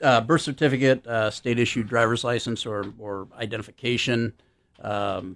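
In a very clean recording with a silent background, a man with a normal speaking voice talks at a moderate pace and a medium pitch. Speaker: airport security official. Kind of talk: radio interview.

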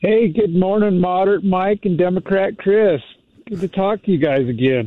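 Here is a man with a high-pitched voice. His pitch varies in an ordinary way. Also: moderate pace. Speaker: caller. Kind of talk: call-in talk radio discussion. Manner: sarcastic; halting with many fillers.

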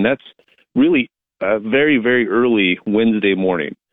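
A man uses a normal speaking voice, pitched fairly low, with ordinary pitch variation and a moderate pace. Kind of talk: live TV meteorologist giving a weather report by phone, model-by-model storm forecast. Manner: measured, conversational, with fillers and hedging.

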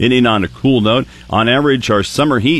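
A man talks at a fairly quick pace with a medium pitch and ordinary pitch variation. Noticeable background noise runs behind him. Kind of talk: radio weather report, reading radar and forecast.

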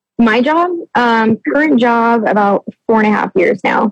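A woman's somewhat breathy, fairly high voice moves at a moderate pace with lively intonation, recorded dry and close with no echo. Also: very even loudness. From Nebraska, US Midwest. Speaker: restaurant manager, dating show contestant. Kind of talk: casual getting-to-know-you chat on radio. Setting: phone call on radio show.

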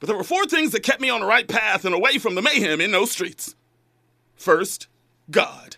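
A man's raised, projected voice in an American accent, high-pitched, with a bright, sharp tone and an animated tone. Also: lively intonation, moderate pace. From Los Angeles, Inglewood. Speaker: radio talk show host. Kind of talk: call-in radio show. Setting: studio.

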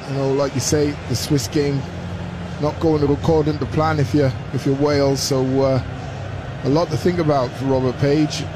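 Amid noticeable background noise, a man with a fairly high pitch speaks at a moderate pace in a relaxed tone with fairly even intonation. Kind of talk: live match co-commentary, expert analysis over the play. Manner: conversational and relaxed, with a measured, pundit-like tone.

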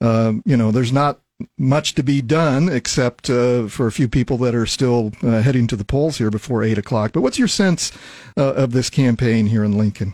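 In an American accent, a man with a normal speaking voice, medium pitch and ordinary pitch variation talks at a moderate pace on a very clean recording with a silent background. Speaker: radio talk show host. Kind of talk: radio interview and chat. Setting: radio studio.

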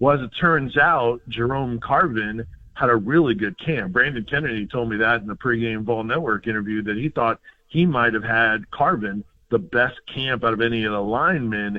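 This man has an ordinary speaking voice at a medium pitch. He keeps a moderate pace with ordinary pitch variation. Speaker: sports analyst. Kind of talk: radio sports talk interview. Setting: phone line into radio studio.

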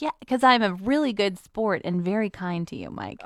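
This put-on character voice sounds whiny, with lively intonation and big swings in loudness. It moves along at a moderate pace. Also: woman, medium pitch for a woman.

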